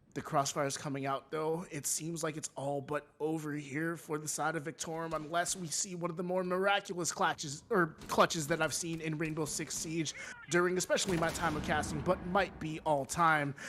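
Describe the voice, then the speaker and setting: Over noticeable background noise, this man barely pauses at all. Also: moderate pace. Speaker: esports caster. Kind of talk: live commentary. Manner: animated.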